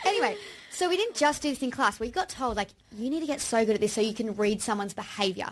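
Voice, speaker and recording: A woman speaks at a very fast pace in an Australian accent. Her pitch is fairly high and her intonation lively. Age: 30s. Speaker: podcast co-host, aspiring actor. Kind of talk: casual chat.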